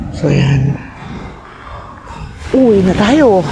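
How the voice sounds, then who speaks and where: A soft-spoken, high-pitched man at a very slow pace, with audible room echo and noticeable background noise. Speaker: vlogger. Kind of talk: vlog narration.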